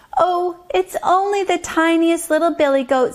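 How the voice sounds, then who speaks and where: In a put-on character voice, a woman delivers squeaky, extremely high-pitched speech at a moderate pace. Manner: timid, innocent.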